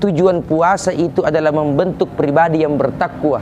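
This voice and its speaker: Fairly high-pitched man's voice in a Makassar accent amid noticeable background noise. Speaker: Islamic preacher. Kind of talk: religious sermon.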